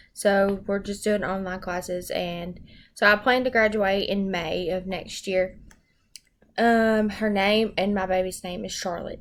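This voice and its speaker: A woman in a Southern US accent, medium pitch, monotone, flat intonation. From US South, Arkansas. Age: 20s. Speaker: education student. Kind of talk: self-introduction. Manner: hesitant, many ums.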